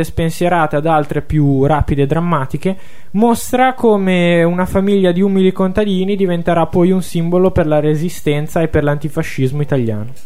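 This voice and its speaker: Over noticeable background noise, a man with a high pitch talks at a moderate pace, his pitch varying in an ordinary way and his loudness very even. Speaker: radio host, music presenter. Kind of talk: radio talk show, conversational. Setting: radio studio.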